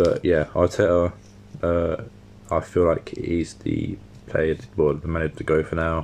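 A man speaks at a moderate pace with a southern English accent. His pitch is very deep and low, and his intonation stays fairly even. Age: 20s. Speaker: podcast host. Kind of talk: casual solo monologue.

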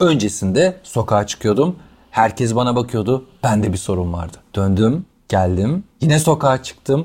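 A somewhat breathy man's voice swings very widely in pitch. The recording is very clean, with a silent background. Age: 40s. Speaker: wheelchair user and motivational speaker. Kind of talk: interview, personal life story.

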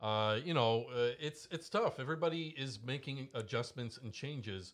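Against a quiet background, a man with a Canadian accent talks at a fairly quick pace in an ordinary speaking voice. His pitch variation is ordinary. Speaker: talk show co-host. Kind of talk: casual chat. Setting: studio. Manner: joking.

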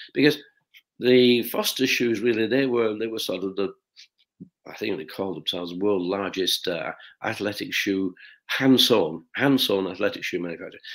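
A man with a Lancashire accent speaks at a moderate pace with ordinary pitch variation and big swings in loudness. The recording is very clean, with a silent background. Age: 80s+. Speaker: shoe company founder. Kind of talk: interview storytelling.

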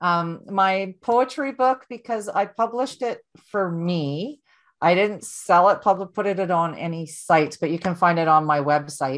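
Speaking at a moderate pace with lively intonation, this plain, everyday voice comes with a Canadian accent over a quiet background. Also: woman, medium pitch for a woman. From Ontario, Canada. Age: 40s. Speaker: author and motivational speaker. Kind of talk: interview, personal testimony.

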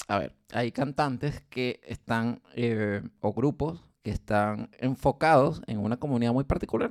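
Recorded with a dry, close sound and no echo, a man speaks fairly slowly in an ordinary speaking voice, at medium pitch with ordinary pitch variation. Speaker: podcast co-host. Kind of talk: casual chat.

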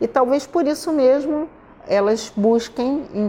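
Speech unfolds at a very slow pace. Its tone is dark and mellow, with ordinary pitch variation. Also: woman. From Brazil, Rio de Janeiro. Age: 60s. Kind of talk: interview.

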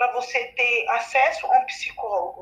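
A woman speaks with lively intonation. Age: 20s. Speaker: cancer patient. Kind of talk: testimony.

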